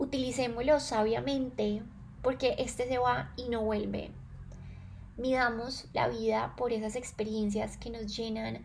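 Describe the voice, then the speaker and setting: Audible room echo follows a woman as she speaks at a fairly slow pace. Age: 20s. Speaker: podcast host, wellness and self-knowledge. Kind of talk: reflective solo monologue.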